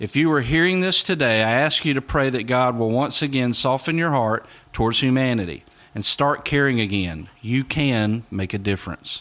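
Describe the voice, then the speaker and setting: In a plain, everyday voice, the speaker holds a very even loudness at a moderate pace with lively intonation. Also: man, medium pitch for a man. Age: 40s. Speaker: pastor. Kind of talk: devotional message.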